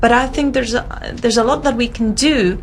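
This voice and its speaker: The woman's pitch sits fairly high. Noticeable background noise and audible room echo fill the recording. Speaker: history education researcher. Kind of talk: conference talk.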